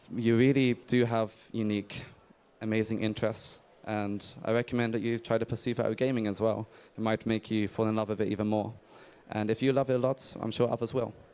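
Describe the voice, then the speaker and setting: In an English accent, a man speaks at a fairly quick pace with a medium pitch and monotone, flat intonation, on a very clean recording with a silent background. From England. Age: 30s. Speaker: indie game developer. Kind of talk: conference talk. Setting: stage with audience.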